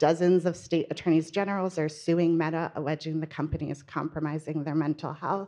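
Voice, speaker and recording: A woman talks at a fairly quick pace in a very deep, low voice, dark and mellow in tone, with monotone, flat intonation. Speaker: panel moderator, reporter. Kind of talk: panel introduction. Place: hall. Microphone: handheld.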